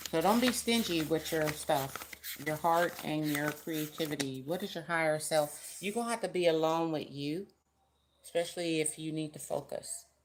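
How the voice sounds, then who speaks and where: Her very deep, low pitch moves with ordinary variation as the woman speaks. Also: moderate pace. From US West Coast, San Francisco Bay Area. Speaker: tarot reader. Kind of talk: live-stream tarot reading. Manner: loud; casual.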